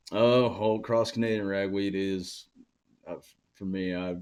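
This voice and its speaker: This man talks with an Oklahoma accent. His pitch sits fairly low. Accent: Oklahoma Southern. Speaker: rock/country singer. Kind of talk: casual interview chat. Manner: hesitant, many fillers.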